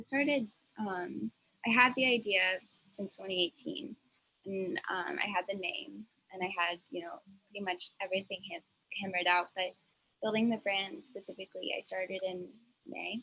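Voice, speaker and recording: A woman at a moderate pace, with ordinary pitch variation and long, frequent pauses. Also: medium pitch for a woman. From Texas, Dallas. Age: 20s. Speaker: social entrepreneur. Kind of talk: interview.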